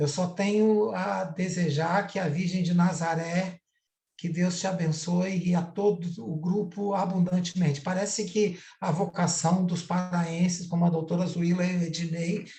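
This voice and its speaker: A man speaks slowly in a high voice with a dark, mellow tone. Audible room echo surrounds him. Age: 60s. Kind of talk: online panel discussion. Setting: video call, streamed live.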